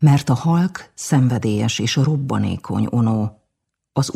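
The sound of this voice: The background stays quiet. An unforced reading voice carries ordinary pitch variation.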